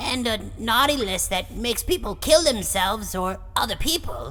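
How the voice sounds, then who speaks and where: A woman performs a cartoonish character voice at a fairly high pitch and moderate pace. Clear background noise is audible. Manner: questioning, bemused.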